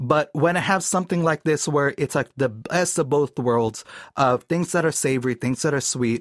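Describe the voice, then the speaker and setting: The sound is dry and close with no echo as a man with an ordinary speaking voice talks at a fairly high pitch with ordinary pitch variation. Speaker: voiceover artist. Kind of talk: casual chat. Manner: playful with voices.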